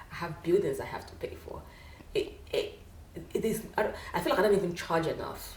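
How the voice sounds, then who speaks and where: A woman with a Nigerian accent at a fairly quick pace, with audible room echo. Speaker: wig maker, business owner. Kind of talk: casual interview chat.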